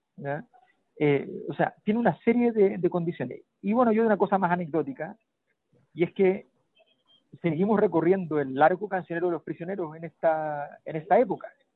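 A man with a high pitch and ordinary pitch variation speaks at a fairly quick pace, broken by long, frequent pauses. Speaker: political commentator. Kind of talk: casual political analysis.

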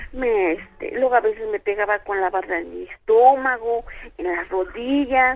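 Her voice is an unremarkable speaking voice, a woman's at a fairly high pitch, moving at a fairly slow pace with lively intonation. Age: 50s. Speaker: radio caller, blind listener. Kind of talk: phone-in testimony.

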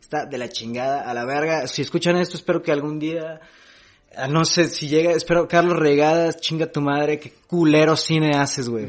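A man talks with a Jalisco accent at a fairly high pitch. His pace is moderate and his intonation fairly even. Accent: Mexican Spanish, Jalisco. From Mexico, Jalisco (Amatitán, Guadalajara). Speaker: stand-up comedian. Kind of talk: casual chat.

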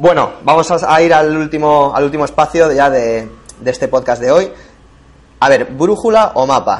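Lively in intonation, a man talks at a fairly high pitch in a plain, everyday voice. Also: moderate pace. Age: 30s. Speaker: podcast host, travel blogger. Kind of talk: casual chat.

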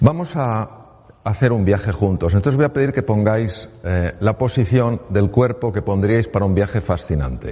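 A man with a fairly low, somewhat breathy voice speaks at a moderate pace. His intonation is lively. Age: 60s. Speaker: surgeon turned speaker. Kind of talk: talk to an audience.

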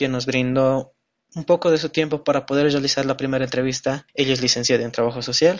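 Here a man speaks in a medium pitch. His pace is moderate. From Bolivia, El Alto. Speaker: podcast host, law student. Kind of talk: scripted introduction.

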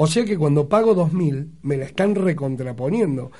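Speaking with a Rioplatense accent, a man talks at a fairly slow pace in an animated tone, with lively intonation at a fairly high pitch. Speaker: radio host. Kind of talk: casual chat.

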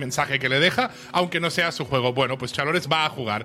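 The speech moves at a fairly quick pace with music playing in the background. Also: man. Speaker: podcast co-host. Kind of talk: episode recap read from notes. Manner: animated.

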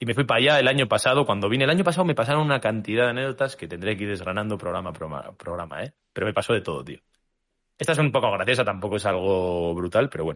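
Speaking at a very fast pace with a Spanish accent, a man makes very wide pitch swings over a quiet background. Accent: Spanish (Spain) accent, noticed in Colombia. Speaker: basketball podcast co-host. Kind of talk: casual chat.

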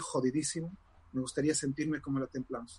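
A man's fairly high, somewhat breathy voice moves at a fairly quick pace with fairly even intonation. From Morocco (Casablanca), Spanish mother. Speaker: tarot reader and author. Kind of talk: interview.

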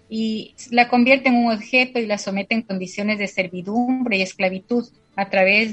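This woman's intonation stays fairly even. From Ecuador, Loja province. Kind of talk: interview. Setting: radio. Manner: halting.

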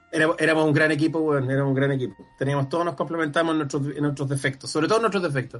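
Over background music, a man with a Chilean accent and a fairly high pitch talks very fast, his intonation fairly even and his loudness very even. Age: 40s. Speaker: comedian and screenwriter. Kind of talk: casual chat.

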